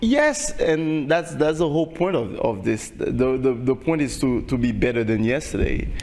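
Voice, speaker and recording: A man speaks with a Haitian accent at a moderate pace, his loudness very even and hardly any pauses, over noticeable background noise. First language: Haitian Creole. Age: young. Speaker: singer. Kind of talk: interview. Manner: halting, many repetitions.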